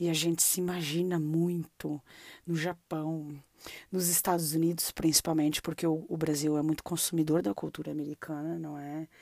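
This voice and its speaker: A dark, mellow tone moves at a moderate pace on a very clean recording with a silent background. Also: woman, very deep, low pitch for a woman. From southern Brazil (Londrina, Paraná; early years São Paulo). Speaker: podcast host. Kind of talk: casual interview chat. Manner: animated.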